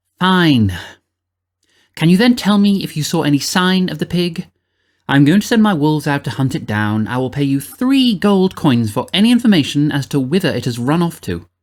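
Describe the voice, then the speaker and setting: A man's put-on character voice, growling and fairly high in pitch, at a moderate pace on a very clean recording with a silent background. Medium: read story. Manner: imperious, snarling.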